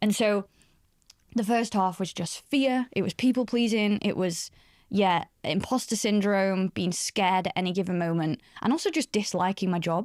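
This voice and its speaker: A woman talks in a northern English accent with ordinary pitch variation. The recording is very clean, with a silent background. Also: medium pitch for a woman, moderate pace, dry, close sound with no echo. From northern England, Doncaster. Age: 30s. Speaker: career expert. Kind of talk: podcast interview. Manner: conversational, many fillers.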